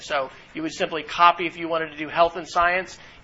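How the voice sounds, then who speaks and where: The speaker is a man with a high-pitched voice. Noticeable background noise runs through the clip. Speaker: university instructor. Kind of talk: lecture. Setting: classroom.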